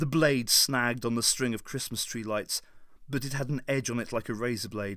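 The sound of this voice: The reading is done in an unforced voice. Nothing about it sounds pushed.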